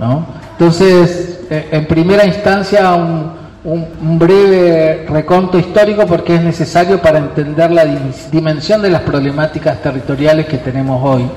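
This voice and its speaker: Noticeable background noise accompanies a man's voice. He speaks with a high pitch at a fairly slow pace. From Río Negro, Argentina. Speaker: Mapuche community leader. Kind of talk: speech.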